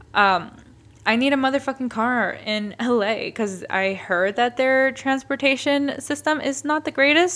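An animated woman with an American accent, a bright, sharp tone and lively intonation. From Massachusetts, US East Coast. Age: 20s. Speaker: podcast host. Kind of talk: casual solo monologue.

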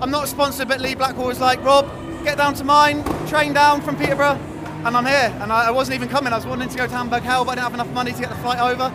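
A man speaks in a raised, projected voice at extremely high pitch, very fast and in a flat monotone, with crowd noise behind him. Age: 20s. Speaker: amateur skateboarder. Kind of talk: casual interview. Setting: outdoors at skate park event.

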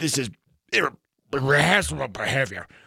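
A man puts on a raspy character voice at a medium pitch. He keeps a moderate pace, and the sound is dry and close with no echo. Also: lively intonation.

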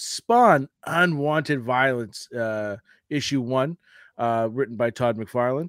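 In a very clean recording with a silent background and a dry, close sound with no echo, a man talks fairly slowly in a normal speaking voice at a medium pitch with ordinary pitch variation. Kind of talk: radio DJ patter, showy podcast intro.

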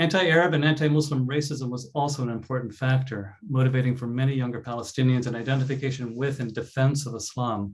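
Very fast, somewhat breathy speech from a man, with fairly even intonation and hardly any pauses. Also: medium pitch for a man. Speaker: professor. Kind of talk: academic panel presentation. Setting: video call.

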